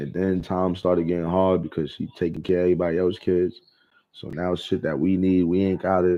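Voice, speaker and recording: A man with an American accent and a very deep, low pitch talks at a very fast pace. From Brooklyn, New York. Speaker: vlogger. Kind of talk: casual monologue. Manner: animated.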